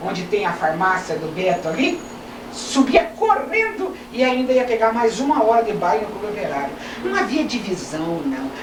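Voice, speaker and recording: A woman talks at a moderate pace with a fairly high pitch, over noticeable background noise and audible room echo. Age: 60s. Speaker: retired lawyer and local culture figure. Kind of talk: interview, reminiscing. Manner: halting.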